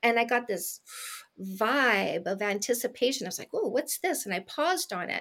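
Using an unremarkable speaking voice, a woman talks at a moderate pace with a fairly high pitch and lively intonation. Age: 50s. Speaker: dating coach. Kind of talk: interview.

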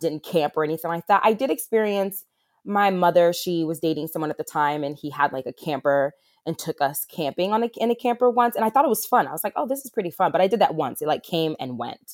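In a very clean, dry, close recording with no echo and a silent background, a woman with an American accent speaks in a fairly low voice. She talks very fast, her pitch swinging very widely. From New Jersey. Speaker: wilderness therapist. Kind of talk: interview.

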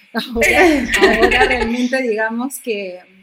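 Noticeable background noise beneath a woman's speech, her pitch varying in an ordinary way. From Argentina. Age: 50s. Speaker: TV presenter and actress. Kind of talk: personal testimony in interview.

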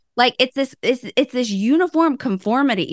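In an animated tone, a woman with a high pitch and a Southern US accent speaks at a moderate pace, the sound dry and close with no echo over a quiet background. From US South. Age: 30s. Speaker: intuitive life coach and podcast co-host. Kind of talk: casual chat.

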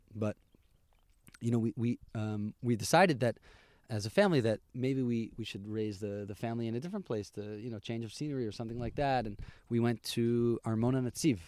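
A man with a New York State accent speaks at a fairly quick pace and medium pitch with ordinary pitch variation, in a very clean recording with a silent background and a dry, close sound with no echo. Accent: American (New York State). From US Northeast (Albany, New York). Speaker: tour guide. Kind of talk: casual chat.

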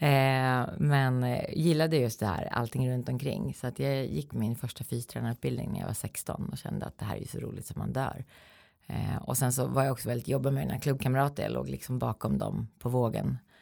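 Moderately paced speech from a woman, recorded very cleanly with a silent background. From Sweden, Eskilstuna. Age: 40s. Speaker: health lecturer and coach. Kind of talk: interview.

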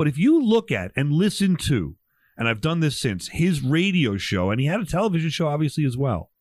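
A man's fairly high-pitched voice with very wide pitch swings and very even loudness. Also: very clean recording, silent background. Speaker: podcast host. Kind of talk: casual chat. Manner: jokey, conversational.

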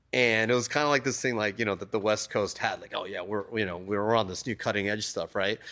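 A man at a medium pitch, fairly quick pace, very clean recording with a silent background. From US (raised), born in Japan. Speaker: tattoo artist. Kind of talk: casual interview. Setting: tattoo shop. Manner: animated, filler-heavy.

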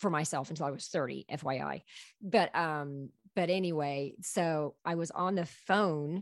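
Over a quiet background, a plain, everyday voice shows ordinary pitch variation and keeps a moderate pace. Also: woman. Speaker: storyteller and artist. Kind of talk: casual interview chat, storytelling.

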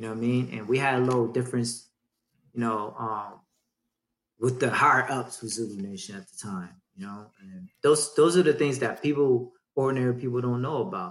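A man talks fairly quickly in an ordinary speaking voice at a medium pitch with ordinary pitch variation. His loudness swings in a big way. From Dayton, Ohio (born in Vietnam). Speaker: breakdance crew leader. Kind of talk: casual chat.

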